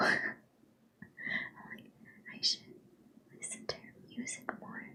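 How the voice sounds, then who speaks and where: Someone whispers over noticeable background noise. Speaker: live streamer. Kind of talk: casual chatting to stream viewers.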